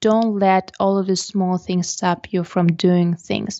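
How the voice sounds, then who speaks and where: Woman with a slight non-native accent at a fairly slow pace. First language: not English. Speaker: portrait photographer and podcaster. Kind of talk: interview.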